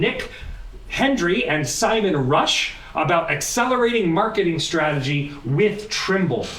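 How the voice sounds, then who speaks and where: A man talks at a fairly slow pace with very wide pitch swings, with audible room echo and noticeable background noise. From US Pacific Northwest, Portland, Oregon. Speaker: AI educator and meetup host. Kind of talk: event hosting, introductory talk to audience. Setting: stage with live audience at meetup. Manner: animated.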